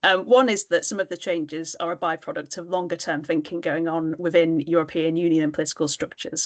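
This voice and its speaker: A woman with a British accent speaks at a fairly quick pace in a fairly low voice. The sound is dry and close with no echo, over a quiet background. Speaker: trade policy panelist. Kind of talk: webinar panel discussion. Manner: hesitant, many filler words.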